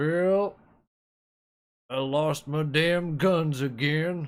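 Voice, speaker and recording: A man does a put-on character voice at a fairly high pitch. He talks at a very slow pace. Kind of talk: Western drawl impression. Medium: game stream. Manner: gruff, laconic.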